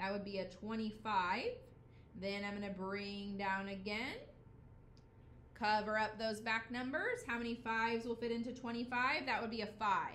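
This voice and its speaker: Amid noticeable background noise and audible room echo, a woman speaks at a moderate pace and fairly high pitch with fairly even intonation. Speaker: elementary school teacher. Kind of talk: math tutorial.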